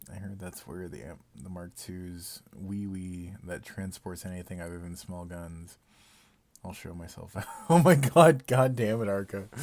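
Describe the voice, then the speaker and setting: With a very deep, low pitch, a man speaks at a fairly slow pace, his pitch varying in an ordinary way and his loudness swinging widely. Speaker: gaming streamer. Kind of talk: live stream commentary. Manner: casual, halting.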